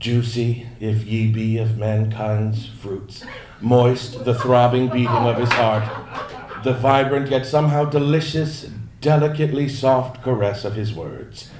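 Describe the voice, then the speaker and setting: At a fairly slow pace, a man speaks in a theatrical tone with fairly even intonation, with audible room echo and light background noise. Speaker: audiobook narrator reading fan-submitted text to a convention audience. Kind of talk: mock-romantic poetry reading performed aloud for laughs, interrupted by his own asides. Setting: stage with live audience at a fan event. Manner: theatrical, overwrought love-poem delivery played straight for comedy; breaks into laughter and ad-libbed asides between lines. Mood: mock-solemn, deadpan humor. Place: stage. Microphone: podium.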